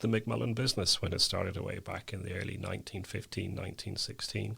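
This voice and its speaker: A man's fairly low voice with vocal fry, at a fairly quick pace, on a very clean recording with a silent background. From Northern Ireland, County Down. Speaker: company chief executive. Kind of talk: podcast interview.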